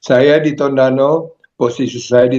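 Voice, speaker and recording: Dark, mellow tone from a man at a medium pitch. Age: 80s+. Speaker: lay minister. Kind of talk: casual self-introduction. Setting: video call.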